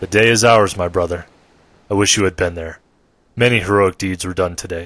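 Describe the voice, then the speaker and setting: Putting on a character voice, a man talks at a fairly quick pace with a very deep, low pitch and fairly even intonation. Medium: read story.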